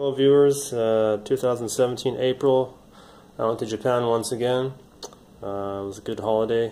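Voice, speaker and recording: The speaker is a man, talking at a medium speed. The rise and fall of his pitch is ordinary. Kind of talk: casual product showcase.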